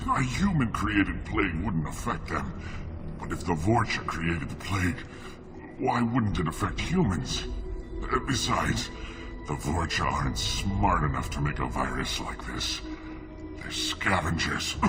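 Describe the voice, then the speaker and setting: Someone does a put-on character voice at a moderate pace while loud music plays in the background. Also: man. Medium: machinima. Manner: clipped, logical.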